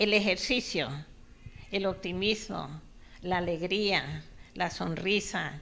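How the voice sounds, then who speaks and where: With a bright, sharp tone, a woman at a medium pitch speaks at a very slow pace, using ordinary pitch variation. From Colombia. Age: 70s. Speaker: author. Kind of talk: interview.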